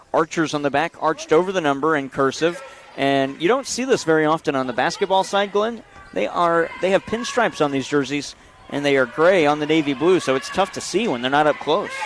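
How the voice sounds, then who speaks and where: Over noticeable background noise, a man with a fairly high pitch speaks fairly quickly with lively intonation. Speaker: play-by-play announcer. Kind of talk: live sports commentary. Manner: loud; fast.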